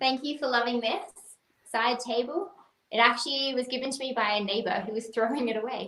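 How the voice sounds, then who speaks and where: A woman with an Australian accent talks at a fairly quick pace and a high pitch. Her tone is bright and sharp, with ordinary pitch variation. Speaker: wedding planner. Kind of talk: livestream guest talk.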